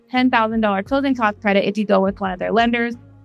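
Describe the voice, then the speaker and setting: With music playing in the background, a woman speaks in an upbeat tone at a fairly high pitch with ordinary pitch variation. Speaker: real estate agent. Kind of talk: casual talk to camera. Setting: outdoors.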